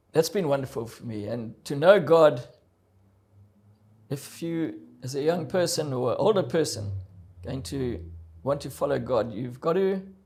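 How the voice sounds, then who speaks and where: A man with a fairly high pitch and vocal fry talks at a moderate pace with long, frequent pauses, big swings in loudness and lively intonation. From South Africa. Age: 70s. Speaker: adventurer and motivational speaker. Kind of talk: interview testimony.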